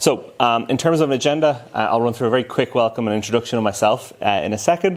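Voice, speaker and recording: This man speaks at a medium pitch with an Irish accent. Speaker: tech company solution engineering lead. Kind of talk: conference presentation. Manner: fast.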